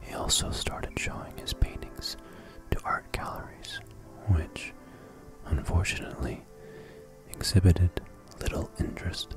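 Long, frequent pauses break up the speech, with clear music in the background and a dry sound with no echo. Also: moderate pace. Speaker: ASMR channel host. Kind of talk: ASMR sleep history lesson, soft-spoken narration. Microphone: studio mic.

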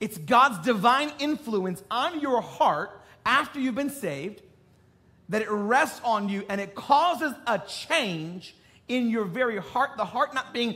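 At a moderate pace, a man speaks in a bright, sharp tone with lively intonation. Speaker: preacher. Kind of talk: sermon. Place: stage.

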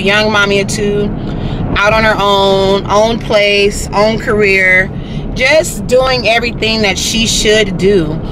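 The voice moves at a fairly slow pace with a dry sound with no echo and noticeable background noise. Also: woman. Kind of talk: casual vlog chat. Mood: proud, warm. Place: car. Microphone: phone near.

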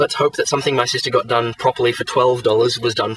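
The speech comes at a very fast pace. There is light background noise and the sound is dry with no echo. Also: man. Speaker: vlogger. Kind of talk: casual vlog chat. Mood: frustrated, annoyed. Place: car. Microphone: phone near.

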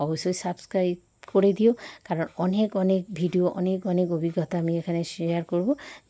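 A woman's dark, mellow tone, fairly low in pitch, with fairly even intonation. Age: 40s. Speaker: fitness and lifestyle vlogger. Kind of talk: vlog talking to camera. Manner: halting, many pauses.

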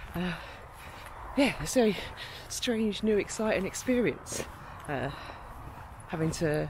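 A fairly slow pace, dry sound with no echo, and noticeable background noise. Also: woman. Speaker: van-life vlogger. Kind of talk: casual vlog chat. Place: open country. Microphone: phone near.

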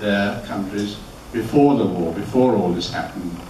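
A man's voice with ordinary pitch variation, light background noise and audible room echo. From Austria. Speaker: Holocaust survivor speaker. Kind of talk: testimony. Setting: stage with audience. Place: hall.

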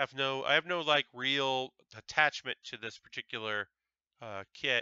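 Recorded with a dry sound with no echo and a quiet background, a man with an American accent talks with ordinary pitch variation. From Connecticut, US. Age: 30s. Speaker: Lego building livestreamer. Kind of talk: casual live stream with chat. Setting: home live stream on Twitch. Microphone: headset.

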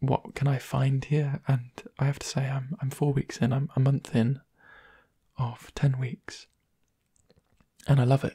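Soft-spoken and gentle in tone, a man talks at a fairly slow pace against a quiet background. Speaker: ASMR creator. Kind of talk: soft-spoken ASMR talk to camera, casual catching-up chat. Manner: soft-spoken, gentle, conversational. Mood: warm, smiling, reflective. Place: home room. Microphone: studio mic.

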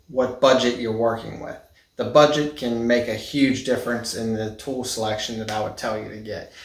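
A man speaks at a fairly slow pace. Audible room echo surrounds the voice. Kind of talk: casual vlog chat. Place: garage. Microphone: phone near.

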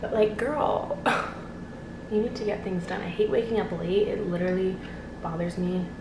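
A woman at a moderate pace with fairly even intonation, amid noticeable background noise. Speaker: vlogger. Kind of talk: casual vlog chat. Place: home room. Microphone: phone near.

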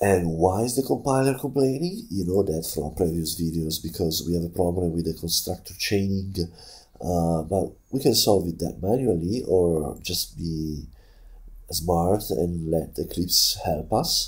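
A man speaks with a very deep, low pitch and lively intonation. His voice is somewhat breathy. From Italy. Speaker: programming tutor. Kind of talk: coding tutorial narration.

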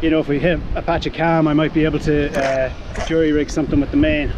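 Against noticeable background noise, a man talks at a fairly quick pace in a dry sound with no echo. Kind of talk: casual vlog chat. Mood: upset, self-critical, adrenaline. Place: boat. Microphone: phone near.

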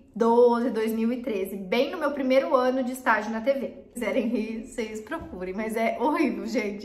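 Audible room echo surrounds a woman speaking at a moderate pace in a fairly high pitch. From Paraná, southern Brazil. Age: 20s. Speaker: YouTuber; youtuber. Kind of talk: casual vlog talk to camera. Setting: improvised home recording corner. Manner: animated. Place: home room.

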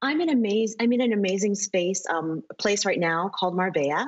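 A woman with an American accent speaks at a moderate pace with ordinary pitch variation. The background is quiet. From New York City. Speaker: footwear designer and wine entrepreneur; interview guest. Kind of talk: interview. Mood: upbeat, enthusiastic. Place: home room. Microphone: video call.

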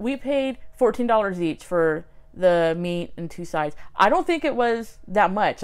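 Against a quiet background, a woman's voice moves through very wide pitch swings. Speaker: vlogger. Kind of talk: casual vlog chat. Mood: ranting, sarcastic. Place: home room. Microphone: phone near.

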